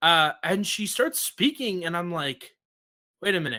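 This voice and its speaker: With a strong New York accent, a man speaks at a high pitch in a bright, sharp, animated tone. His pitch swings very widely at a moderate pace, and the recording is very clean with a silent background. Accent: thick New York. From US Northeast, New York. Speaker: podcast host. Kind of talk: casual chat.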